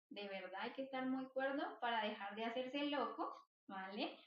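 Pitch shifts in a usual way, and the speaking speed is neither fast nor slow. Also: woman. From Colombia, Bogotá. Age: 20s. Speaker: psychologist. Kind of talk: interview.

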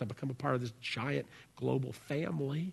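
A man's animated, somewhat breathy voice. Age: 40s. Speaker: pastor. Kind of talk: sermon. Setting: church.

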